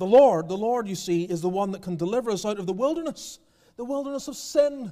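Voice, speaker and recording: Over a quiet background, a man speaks at a very fast pace with lively intonation and big swings in loudness. His tone is dark and mellow, and his pitch is high. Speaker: preacher. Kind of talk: sermon. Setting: church. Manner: earnest, pastoral, exhorting the congregation. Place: church. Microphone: podium.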